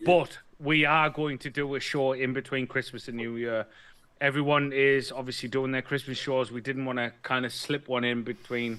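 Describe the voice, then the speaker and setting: In a very clean recording with a silent background, a man with a British accent speaks at a moderate pace and medium pitch, his tone bright and sharp and his intonation monotone and flat. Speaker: vaping show co-host. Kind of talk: casual chat.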